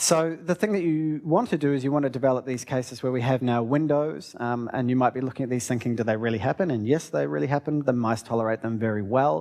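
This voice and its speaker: In a New Zealand accent, a man with a medium pitch talks at a very fast pace with lively intonation. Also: hardly any pauses, quiet background. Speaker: research scientist. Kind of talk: lecture.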